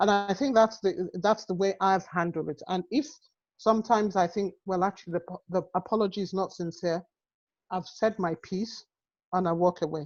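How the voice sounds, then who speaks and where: A woman speaks with an African accent. Her pitch varies in an ordinary way at a moderate pace. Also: medium pitch for a woman. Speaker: health and social care professional. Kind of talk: webinar panel discussion.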